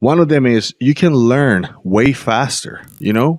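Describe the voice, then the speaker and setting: A man with a Latin American accent, animated in tone, at a moderate pace. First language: Spanish. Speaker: podcast host and entrepreneur. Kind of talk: motivational monologue to camera.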